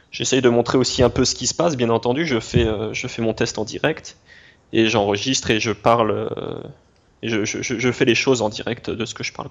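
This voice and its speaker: At a moderate pace, a man of medium pitch talks with fairly even intonation and long, frequent pauses. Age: 20s. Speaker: YouTuber reviewing browser games. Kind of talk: interview. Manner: halting, many repetitions and fillers.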